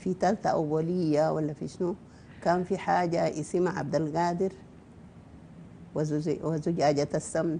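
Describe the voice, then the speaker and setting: In a Sudanese accent, a woman speaks at a fairly slow pace in a fairly low, dark and mellow voice with fairly even intonation. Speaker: novelist. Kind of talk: interview.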